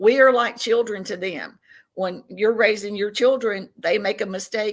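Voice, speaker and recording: A woman with a Southern US accent talks at a moderate pace. Her pitch is fairly high and her intonation fairly even. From Tennessee, US South. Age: 60s. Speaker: podcast guest, self-described contactee. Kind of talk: interview.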